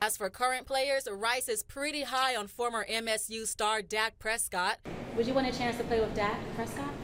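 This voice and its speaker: Noticeable background noise behind a woman's fairly high voice, with fairly even intonation at a moderate pace. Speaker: television news reporter. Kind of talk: news package narration and interview questions.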